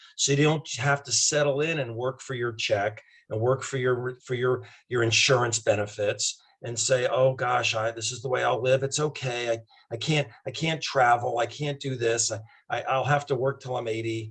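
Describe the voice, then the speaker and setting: A man with a plain, everyday voice speaks at medium pitch and moderate pace with fairly even intonation. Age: 60s. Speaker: doctor promoting a wellness product. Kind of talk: casual interview chat.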